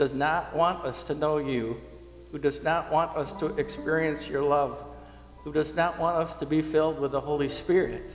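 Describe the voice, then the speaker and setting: A man talks at a moderate pace. Audible room echo surrounds him, with faint music in the background. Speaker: pastor leading prayer. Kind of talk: prayer. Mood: earnest, soft, reverent. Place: church. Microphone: headset.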